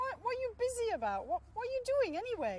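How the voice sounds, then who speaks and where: This squeaky, put-on character voice moves at a very fast pace. Background noise is clearly heard. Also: woman. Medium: read story.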